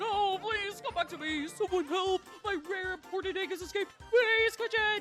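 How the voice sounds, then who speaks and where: With clear music behind it, a put-on character voice at an extremely high pitch sounds panicked and keeps a moderate pace. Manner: goofy, panicked.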